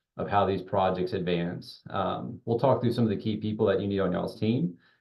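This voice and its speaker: A man with an ordinary speaking voice talks at a fairly low pitch with fairly even intonation. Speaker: real estate consultant. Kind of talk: webinar presentation.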